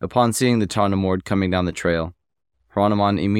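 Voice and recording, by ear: The background stays quiet. The speaker is reading aloud in a natural voice.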